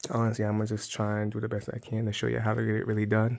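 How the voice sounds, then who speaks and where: Quiet and at a very fast pace, a man speaks with a fairly low pitch. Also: very clean recording, silent background. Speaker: DIY car repair vlogger. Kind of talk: tutorial. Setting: outdoors in the cold. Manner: quiet, low voice; halting, many fillers.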